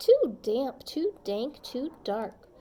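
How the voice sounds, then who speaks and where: A woman puts on a squeaky character voice. It sits high in pitch and swings very widely. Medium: read story.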